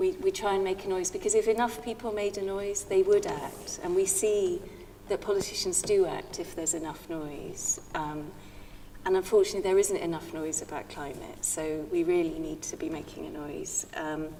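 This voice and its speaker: Noticeable background noise and audible room echo around a woman's moderately paced speech. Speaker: environmental campaigner. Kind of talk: panel discussion. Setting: church with audience. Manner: halting.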